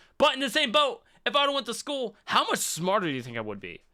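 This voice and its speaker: Raising and projecting his voice, a man talks fairly quickly with a bright, sharp tone and very wide pitch swings. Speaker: podcast co-host. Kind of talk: casual chat.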